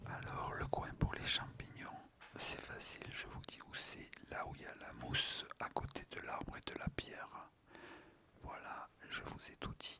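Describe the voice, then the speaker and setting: Whispering at a fairly slow pace, a man speaks over noticeable background noise. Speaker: father of the channel host, trying ASMR for the first time. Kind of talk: casual ASMR chat about mushroom picking.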